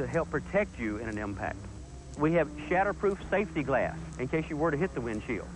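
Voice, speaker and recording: Against noticeable background noise, a man's voice moves in very wide pitch swings, the sound dry with no echo. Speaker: driving instructor. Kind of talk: 1980s corporate training film narration. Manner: formal; earnest, measured and instructional.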